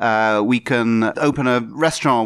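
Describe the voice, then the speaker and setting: A man speaks with a southern English accent in a very clean recording with a silent background. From southeast England. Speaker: diplomat. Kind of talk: interview. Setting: embassy office. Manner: halting.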